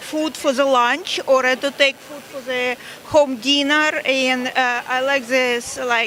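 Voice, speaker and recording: Speaking in a raised, projected voice, a woman with a Russian accent keeps a high pitch and fairly even intonation at a fairly slow pace. Noticeable background noise is present. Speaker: market patron. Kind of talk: street interview. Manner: halting.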